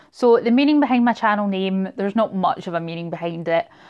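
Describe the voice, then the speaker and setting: A woman in a Scottish accent, at a medium pitch. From Scotland, Glasgow area. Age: 30s. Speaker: booktuber. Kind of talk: casual vlog monologue.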